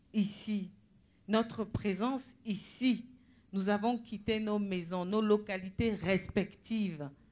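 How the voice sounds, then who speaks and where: A woman speaking at a very slow pace with fairly even intonation. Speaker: preacher. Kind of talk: sermon.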